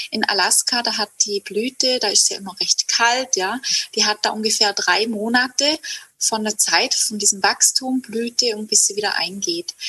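Over noticeable background noise, a woman with a fairly high pitch talks at a moderate pace with fairly even intonation. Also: dry, close sound with no echo. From southern Germany, Hegau (Lake Constance area). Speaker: herbalist and women's circle leader. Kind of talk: casual interview.

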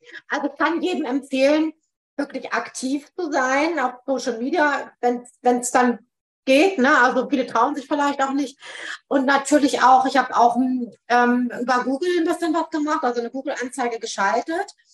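A woman's high voice, with ordinary pitch variation, moves at a moderate speed. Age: 40s. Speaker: psychotherapy practitioner. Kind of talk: interview. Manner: frequent filler hesitations.

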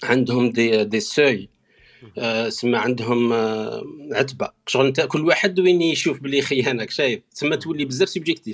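In a plain, everyday voice, a man speaks at a moderate pace and medium pitch with lively intonation. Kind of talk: casual chat. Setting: online audio room.

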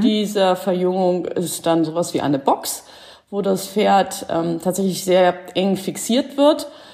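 A woman speaks very slowly at a medium pitch. Her tone is dark and mellow. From Schleswig-Holstein, northern Germany. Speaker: horse behaviour therapist. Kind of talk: casual interview. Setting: online call. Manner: hesitant, many fillers.

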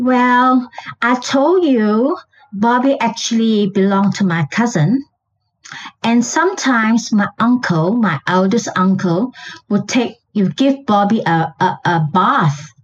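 This woman's voice is fairly high, somewhat breathy and very even in loudness. Her intonation is lively and her pace very slow. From Malaysia. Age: 70s. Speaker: guest, pet illustrator. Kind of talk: storytelling, casual interview.

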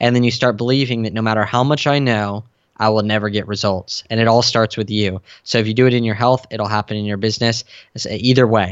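Talking at a very fast pace, this man has a medium pitch and an American accent. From San Diego, California. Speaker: fitness coach and entrepreneur. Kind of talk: interview. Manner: animated.

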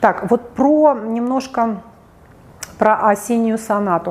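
A woman with an animated tone over noticeable background noise. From Russia, St Petersburg. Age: 40s. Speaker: psychologist. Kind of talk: video monologue.

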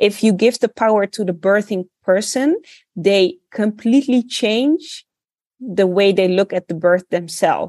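Recorded with a dry, close sound and no echo, a woman speaks at a fairly slow pace in a medium pitch, her tone dark and mellow and her pitch variation ordinary. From Netherlands, Rotterdam. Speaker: midwife. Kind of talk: interview.

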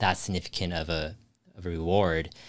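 The background is silent and the recording very clean. A man speaks throughout. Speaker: investing youtuber. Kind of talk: casual chat. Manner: fast.

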